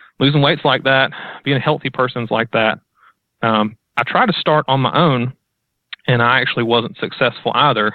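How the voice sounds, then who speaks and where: Taking long, frequent pauses, a man of medium pitch speaks at a moderate pace with ordinary pitch variation and very even loudness. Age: 20s. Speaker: weight loss guest. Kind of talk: casual chat.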